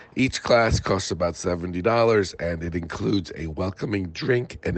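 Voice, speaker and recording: A man speaks at a fairly slow pace with a very deep, low pitch and ordinary pitch variation. Noticeable background noise runs under the recording. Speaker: events reporter. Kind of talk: event report.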